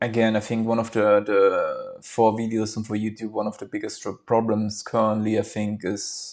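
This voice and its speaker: At a moderate pace and medium pitch, a man speaks in a monotone, flat intonation with hardly any pauses. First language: German. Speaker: vlogger. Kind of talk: casual monologue. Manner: halting.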